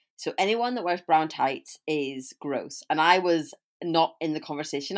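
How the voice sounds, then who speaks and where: A woman's very deep, low voice with a British accent and ordinary pitch variation. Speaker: podcast host. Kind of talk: casual chat.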